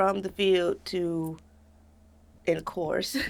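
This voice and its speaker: On a very clean recording with a silent background, a woman with an American accent speaks at a very slow pace, medium in pitch, with fairly even intonation. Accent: doesn't sound like an Augusta local. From Augusta, Georgia (US South). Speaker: exotic dancer and actor. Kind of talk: interview.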